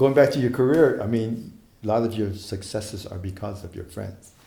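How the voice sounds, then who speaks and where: A man talks with big swings in loudness. Noticeable background noise sits under his voice. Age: 60s. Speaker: saxophonist. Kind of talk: interview. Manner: halting.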